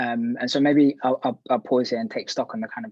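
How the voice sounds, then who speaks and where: Fairly quick in pace, a man speaks with a London accent in a dry, close sound with no echo. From West London. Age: 30s. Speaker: activist. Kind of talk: panel talk.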